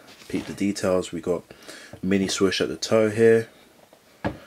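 Very deep, low pitch from a man with a London accent, over light background noise. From London, England. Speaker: sneaker reviewer YouTuber. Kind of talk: product review. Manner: enthusiastic, repetitive. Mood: upbeat enthusiastic. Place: home room.

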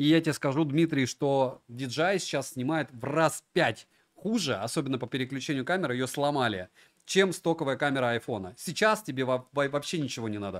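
A man's fairly high voice at a moderate pace, lively in intonation, over a quiet background. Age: 40s. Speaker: tech reviewer streamer. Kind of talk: live stream review. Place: home room.

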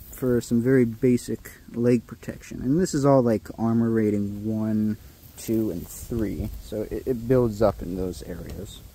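A dark, mellow tone at a fairly slow pace, with ordinary pitch variation and a dry sound lacking echo. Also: man. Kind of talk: casual vlog chat. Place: garden. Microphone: phone near.

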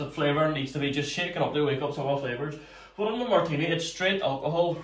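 A man's voice with audible room echo. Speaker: home cocktail channel host. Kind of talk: casual tutorial chat. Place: home room. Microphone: camera far.

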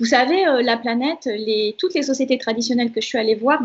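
Very fast pace and ordinary pitch variation. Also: woman. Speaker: social anthropologist and shaman; guest. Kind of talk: interview. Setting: video call. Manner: gentle. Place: home room. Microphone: video call.

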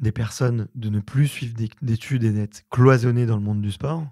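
In a dry sound with no echo and a quiet background, a man speaks at a moderate pace with a medium pitch, a dark, mellow tone and ordinary pitch variation. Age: 30s. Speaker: podcast host. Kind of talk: casual interview. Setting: studio, in person. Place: studio. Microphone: studio mic.

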